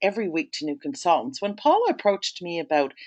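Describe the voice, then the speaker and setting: The speaker has a Toronto accent. Their pitch swings very widely. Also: woman. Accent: Canadian (Toronto, Ontario). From Canada, Toronto, Ontario. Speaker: sales trainer. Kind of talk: webinar presentation. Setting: online webinar.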